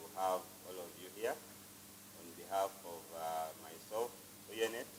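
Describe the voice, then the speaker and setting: A man with a very deep, low pitch talks at a very slow pace with ordinary pitch variation and big swings in loudness, with audible room echo around him. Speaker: youth organization executive director. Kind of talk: opening remarks speech. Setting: conference room without microphone. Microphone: no microphone, switched off.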